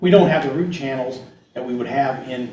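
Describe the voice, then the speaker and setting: A man with a Midwestern US accent speaks at a medium pitch and moderate pace with ordinary pitch variation, with audible room echo and noticeable background noise. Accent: US Midwest. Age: 60s. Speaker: agronomist. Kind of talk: presentation Q&A. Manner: halting.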